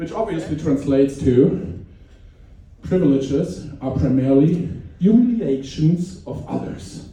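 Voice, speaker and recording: A man with a German accent speaks at a fairly high pitch, with lively intonation and long, frequent pauses. Audible room echo and noticeable background noise run through the recording. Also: fairly slow pace. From Germany. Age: middle-aged. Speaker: stand-up comedian. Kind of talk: stand-up. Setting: stage with audience. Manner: halting.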